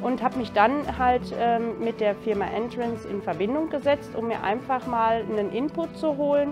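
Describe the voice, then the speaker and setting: With clear music in the background, a woman speaks at a moderate pace with hardly any pauses. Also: ordinary pitch variation. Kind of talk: interview answer. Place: home room. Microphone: lapel.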